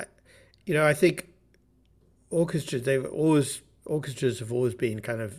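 Somewhat breathy, a man with a southern English accent talks at a moderate pace with ordinary pitch variation. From southern England, Bath. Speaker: orchestra manager. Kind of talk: interview.

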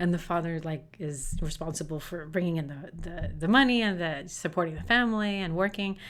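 A plain, everyday voice moves at a fairly quick pace with ordinary pitch variation and hardly any pauses. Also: woman, fairly low pitch for a woman. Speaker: actor and writer. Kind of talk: casual interview.

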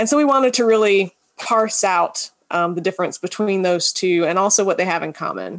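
In an unremarkable speaking voice, a woman talks at a fairly quick pace with a medium pitch and ordinary pitch variation. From Georgia, US South. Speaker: anthropologist. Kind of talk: interview.

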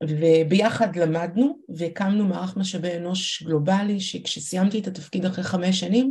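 A woman with an unremarkable speaking voice, medium pitch, ordinary pitch variation and a fairly slow pace. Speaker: startup CEO and organizational consultant. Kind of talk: interview with live workshop.

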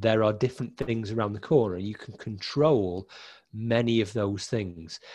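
Set against a quiet background, a man's medium-pitched voice comes across somewhat breathy. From northern England, Winsford, Cheshire. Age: 40s. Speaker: HR consultant. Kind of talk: interview.

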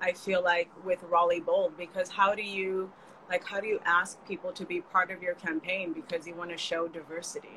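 A woman with an American accent has a plain, everyday voice at a medium pitch. She speaks at a moderate pace with fairly even intonation. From California. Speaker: community builder and digital marketer. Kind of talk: casual chat.

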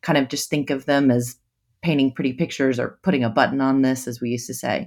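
A woman with an American accent speaks at a very deep, low pitch, her intonation fairly even. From United States. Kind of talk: casual interview. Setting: video call.

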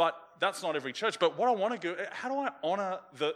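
A man with an Australian accent, a bright, sharp tone and a moderate pace. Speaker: pastor. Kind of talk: sermon. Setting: church with a congregation.

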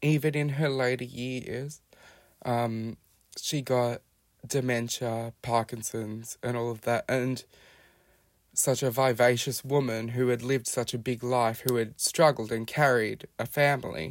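A man with an Australian accent, medium-pitched, fairly slow, with fairly even intonation. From Australia, Melbourne (Hampton). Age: 20s. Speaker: podcast guest sharing life story. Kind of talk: personal testimony.

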